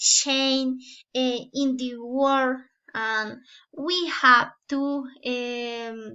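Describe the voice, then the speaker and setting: With fairly even intonation, a woman talks in a high pitch. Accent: Spanish. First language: Spanish. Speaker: student teacher. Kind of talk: class presentation. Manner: halting, many fillers.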